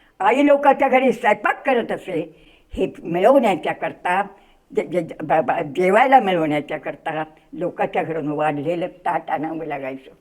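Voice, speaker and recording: A woman's voice swings very widely in pitch. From Akola district, Maharashtra, India. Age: 80s+. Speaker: freedom fighter. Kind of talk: interview answer.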